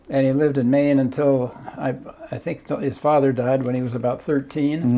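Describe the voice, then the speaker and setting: Against noticeable background noise, a man of medium pitch talks in a flat monotone. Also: fairly quick pace. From Southern California, Newport Beach. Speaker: former city council member, ferry operator. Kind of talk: oral history interview. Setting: at home. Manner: halting.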